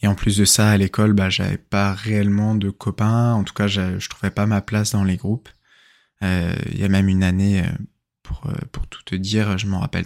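A man at a fairly low pitch, monotone and flat, with a dry, close sound with no echo, in a very clean recording with a silent background. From central Brittany, France. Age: 20s. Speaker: podcaster. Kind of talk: personal storytelling monologue. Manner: hesitant, many fillers.

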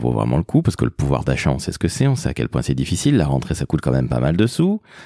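Delivered at a very fast pace, the speech has ordinary pitch variation and a dry, close sound with no echo. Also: man, hardly any pauses. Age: 50s. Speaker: podcast host, father. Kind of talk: casual chat.

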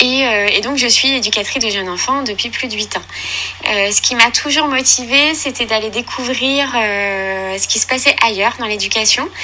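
A woman speaks at a moderate pace with fairly high pitch and ordinary pitch variation. Background noise is noticeable. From Normandy, Caen. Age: 30s. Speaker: early childhood educator. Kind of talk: interview. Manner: halting.

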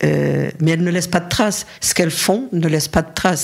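A woman speaks at a fairly low pitch in a somewhat breathy voice. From Paris region, France. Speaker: feminist activist. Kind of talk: interview. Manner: halting.

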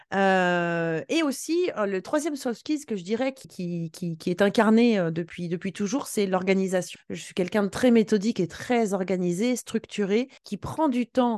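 A woman at medium pitch, fairly slow yet with hardly any pauses, lively intonation, and a dry, close sound with no echo. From western France. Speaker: sales coach and trainer. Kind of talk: interview. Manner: animated.

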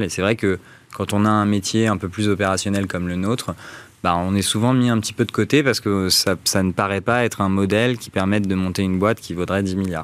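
A man's fairly low voice, a plain, everyday voice, at a fairly quick pace with fairly even intonation. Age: 30s. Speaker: startup founder. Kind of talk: interview. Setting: studio.

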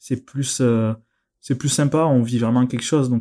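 Man with a slight southern French accent, medium pitch, and a dark, mellow tone in a flat monotone at a moderate pace, on a very clean recording with a silent background. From southern France, near Narbonne. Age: 30s. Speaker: board game industry employee. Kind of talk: interview.

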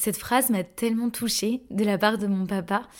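A woman speaks in an unremarkable speaking voice at medium pitch. Her intonation is fairly even and her pace moderate. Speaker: podcast host and energy therapist coach. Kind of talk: personal testimony.

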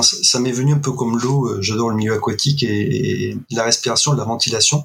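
A man talks at a fairly quick pace in a medium pitch with ordinary pitch variation, and noticeable background noise is audible. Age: 50s. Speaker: hypnosis practitioner and breathing coach, retired soldier. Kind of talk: interview. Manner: hesitant, many filler sounds.

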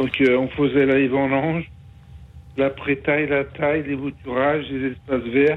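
A man speaks at a very slow pace. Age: 50s. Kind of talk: testimony. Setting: phone call. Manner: halting, hesitant.

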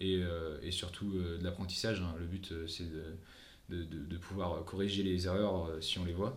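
Amid audible room echo, a man speaks fairly slowly at a very deep, low pitch with monotone, flat intonation. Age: 20s. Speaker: boxing coach and combat sports athlete. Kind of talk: casual interview. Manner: halting, many repetitions.

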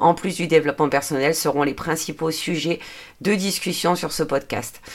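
The speech comes at a fairly slow pace with fairly even intonation. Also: woman. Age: 40s. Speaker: podcaster and budgeting/personal development YouTuber. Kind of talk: solo podcast monologue. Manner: hesitant, many fillers.

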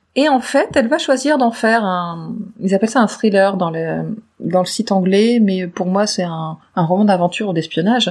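A woman's voice is somewhat breathy, with lively intonation. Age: 40s. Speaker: podcast co-host. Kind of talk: casual chat about books.

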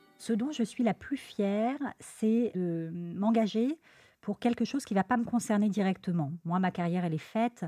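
With music in the background, a woman speaks in a medium pitch with lively intonation and very even loudness, the sound dry and close with no echo. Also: moderate pace. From Lyon, France. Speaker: surgeon. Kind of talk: interview.

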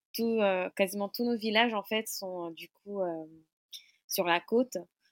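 A woman speaks at a very slow pace with fairly even intonation. The sound is dry and close, with no echo. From Mayotte. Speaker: community venue manager. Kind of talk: interview. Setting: remote recording.

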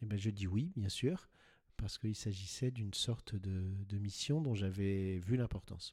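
The voice is somewhat breathy and fairly slow, with ordinary pitch variation. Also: man, fairly low pitch for a man. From France, Paris. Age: 60s. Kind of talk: interview. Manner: halting, repeats words.

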